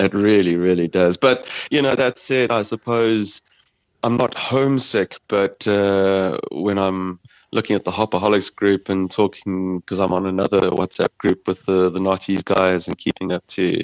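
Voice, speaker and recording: A man with a South African accent talks at a moderate pace in a fairly low voice, his intonation fairly even. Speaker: brewer. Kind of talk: casual chat. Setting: phone call. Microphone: poor sound quality.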